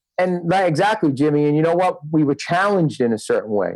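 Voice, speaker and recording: With a New York accent and ordinary pitch variation, a man speaks in a dry, close sound with no echo. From Brooklyn, New York. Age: 40s. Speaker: rock guitarist and music producer. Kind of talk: casual chat.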